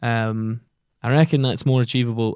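In a very clean recording with a silent background, a man with a Glaswegian accent speaks at medium pitch with ordinary pitch variation. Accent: Glaswegian Scottish. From Scotland, Giffnock near Glasgow. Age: 20s. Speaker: comedian and actor. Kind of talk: casual interview chat. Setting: podcast studio.

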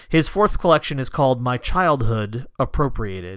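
This man has a plain, everyday voice with a medium pitch and lively intonation, speaking at a moderate pace. The recording is very clean, with a silent background. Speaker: podcast host. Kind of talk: casual, warm podcast introduction and outro.

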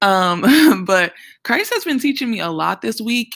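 A woman with a New Orleans accent, an animated tone and a moderate pace, on a very clean recording with a silent background. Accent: New Orleans Southern US. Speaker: podcast host and Bible teacher. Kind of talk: Bible teaching podcast talk. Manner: casual, animated.

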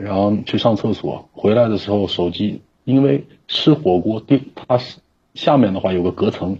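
Somewhat breathy, a man's fairly low voice carries ordinary pitch variation. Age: 30s. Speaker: caller. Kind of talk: personal testimony on call. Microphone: connection dropping.

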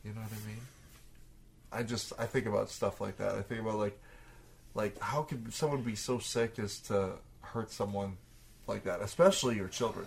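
A man with a Canadian accent, medium-pitched and somewhat breathy, ordinary pitch variation, moderate pace, and long, frequent pauses. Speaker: podcast co-host, DJ. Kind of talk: casual chat. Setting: home recording, shared headphones.

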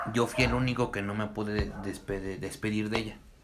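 There is audible room echo around this man as he speaks. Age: 20s. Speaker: podcast host. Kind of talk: casual chat.

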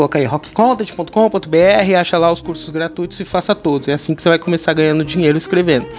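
With music in the background, a man speaks in an animated tone, high in pitch with ordinary pitch variation. His pace is fairly quick, with hardly any pauses. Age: 30s. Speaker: podcast host and writer. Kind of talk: casual monologue. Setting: home.

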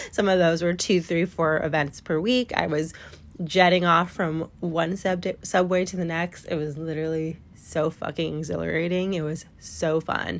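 Speaking at a moderate pace, a woman uses a fairly low pitch. Her intonation is monotone and flat. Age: 30s. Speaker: podcast host and business owner. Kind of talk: solo life update monologue. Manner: casual, with laughs.

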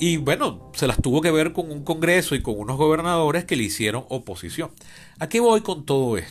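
A man speaks at a fairly quick pace with lively intonation and a fairly high pitch. Music plays in the background. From Venezuela, Caracas. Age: 40s. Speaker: podcast host, political scientist. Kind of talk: solo podcast monologue, political commentary.

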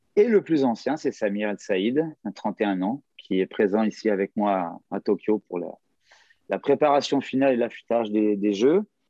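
A man with a normal speaking voice talks at a fairly slow pace with ordinary pitch variation. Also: fairly low pitch for a man. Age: 50s. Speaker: gymnastics coach. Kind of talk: casual interview. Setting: hotel room, remote call.

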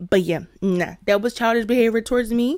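On a very clean recording with a silent background, a woman's tone comes across as animated. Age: 20s. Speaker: podcast host. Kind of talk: casual chat.

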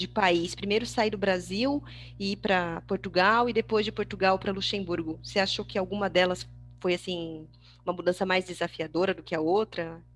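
Using a plain, everyday voice, a woman speaks at a moderate pace with medium pitch and fairly even intonation. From Brazil, Bragança Paulista (São Paulo state). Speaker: podcast host. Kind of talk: casual interview.

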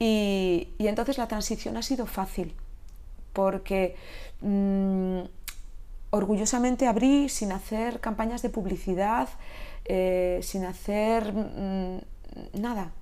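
In a room with audible echo, a woman speaks at medium pitch and a very slow pace with long, frequent pauses, ordinary pitch variation and a dark, mellow tone. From Catalonia, Spain. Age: 50s. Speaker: Pilates instructor. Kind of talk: interview.

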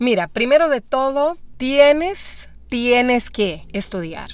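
Her intonation is lively. This woman talks very slowly. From Brazil. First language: Portuguese (speaking Spanish). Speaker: actress and voice actor. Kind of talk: interview. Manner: halting.

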